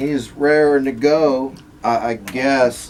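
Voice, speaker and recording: A man talks at medium pitch while noticeable background noise carries on behind him. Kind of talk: casual talk to camera.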